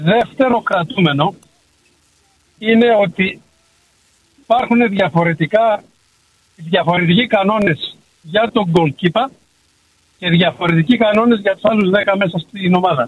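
A high-pitched man at a fairly slow pace, with long, frequent pauses, ordinary pitch variation and very even loudness. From Greece. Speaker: radio caller, former goalkeeper. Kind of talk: phone-in call. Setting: phone call.

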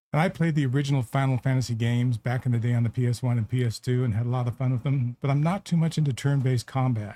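The voice is dark, mellow and somewhat breathy, with ordinary pitch variation and very even loudness. It runs at a very fast pace in a dry, close sound without echo. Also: man, medium pitch for a man. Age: 70s. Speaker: podcast co-host. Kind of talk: casual chat.

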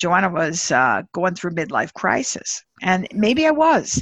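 The speaker has a normal speaking voice and a moderate pace. The sound is dry and close with no echo, over a quiet background. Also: woman. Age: 60s. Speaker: management consultant and leadership author. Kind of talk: interview.

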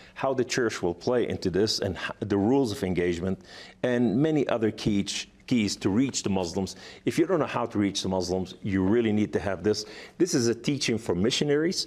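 A man with a non-native accent speaks at a fairly quick pace and fairly low pitch, his intonation lively and his loudness very even. The recording is very clean, with a silent background. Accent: foreign. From Lebanon. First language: Arabic. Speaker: author and evangelist, former jihadist. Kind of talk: talk show interview. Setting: studio.

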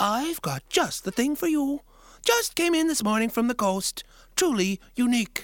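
A woman uses a put-on character voice pitched high. Her pitch swings very widely. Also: moderate pace. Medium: read story.

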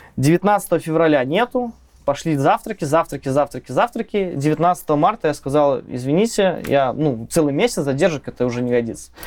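Here a man talks in a normal speaking voice at a moderate pace. His pitch is fairly high and his intonation is lively. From Belarus, village near Minsk. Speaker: software tech lead. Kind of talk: casual technical interview. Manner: casual, slangy.

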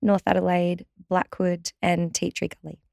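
Recorded with a dry, close sound and no echo, a woman speaks in an Australian accent. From regional Victoria, Australia. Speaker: pilates trainer and studio owner. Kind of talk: interview.

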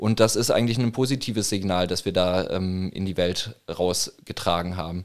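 A man speaks with a very deep, low pitch. He hardly pauses at all. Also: fairly even intonation, moderate pace. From Franconia, northern Bavaria (Würzburg). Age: 30s. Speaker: protest organizer and newspaper publisher. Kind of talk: casual interview. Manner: halting, many fillers.

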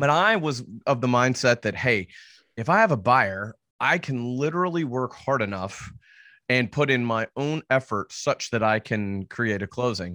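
Using a plain, everyday voice, a man speaks at a moderate pace and medium pitch with lively intonation, the sound dry and close with no echo. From US South, Nashville, Tennessee. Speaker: real estate agent and investor. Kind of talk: interview.

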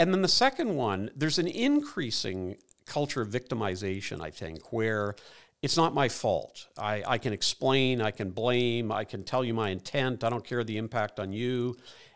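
Here a man has a normal speaking voice, a medium pitch and lively intonation. He keeps a moderate pace on a very clean recording with a silent background. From Ireland (Dublin), raised in Canada. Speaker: psychologist and former pastor, author. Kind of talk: interview conversation.

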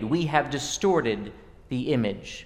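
A man speaks with very wide pitch swings, and audible room echo surrounds his voice. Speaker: preacher. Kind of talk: sermon.

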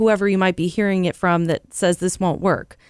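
An unremarkable speaking voice moves at a fairly quick pace. The recording is very clean, with a silent background. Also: woman. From Central California. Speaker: real estate broker. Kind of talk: casual chat.

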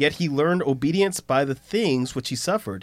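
A normal speaking voice from a man with fairly high pitch and lively intonation, on a very clean recording with a silent background. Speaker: podcast co-host and pastor. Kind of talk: casual Bible study discussion.

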